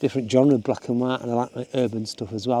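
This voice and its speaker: A man speaks at a medium pitch with a Yorkshire accent. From Yorkshire, northern England. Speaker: hiking and photography vlogger. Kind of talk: casual vlog monologue. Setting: outdoors on a mountain hike. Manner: casual, hesitant with fillers.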